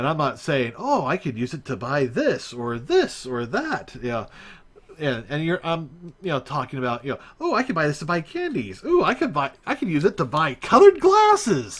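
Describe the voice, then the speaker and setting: A man's fairly high voice with an American accent and very wide pitch swings. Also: moderate pace. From USA. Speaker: live streamer, 3D game modder. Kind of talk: live stream chat. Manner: hesitant, many filler words.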